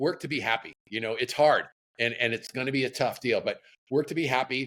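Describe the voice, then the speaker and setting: Bright and sharp in tone, the voice carries an American accent and moves at a fairly quick pace with fairly even intonation. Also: man. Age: 60s. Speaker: surf apparel entrepreneur. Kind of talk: casual interview chat. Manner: halting, many repeated words.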